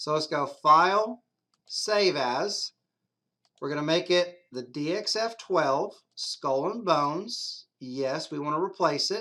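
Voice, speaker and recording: At a very slow pace, a man talks with a fairly high pitch, lively intonation and a bright, sharp tone. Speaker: CNC software tutorial maker. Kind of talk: screen-recorded software tutorial. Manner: casual.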